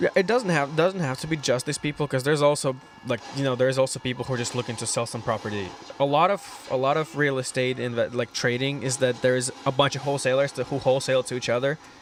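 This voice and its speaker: A man with a Russian accent talks at a very fast pace over noticeable background noise. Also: medium pitch for a man, ordinary pitch variation. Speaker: aspiring real estate investor. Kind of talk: casual chat.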